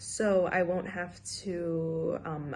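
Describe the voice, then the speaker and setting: A woman's somewhat breathy, fairly low voice with audible room echo. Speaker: student teacher. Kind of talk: self-reflection presentation.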